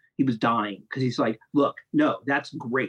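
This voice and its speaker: A man with an American accent and medium pitch speaks at a moderate pace with fairly even intonation, the sound dry and close with no echo. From US Midwest, Ohio (Columbus, Grove City). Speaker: film critic and video editor. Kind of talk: casual interview chat.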